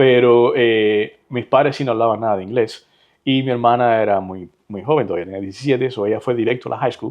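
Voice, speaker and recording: Medium in pitch with ordinary variation, a man's voice moves at a fairly quick pace. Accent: Cuban. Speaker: real estate agent and entrepreneur. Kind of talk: interview conversation.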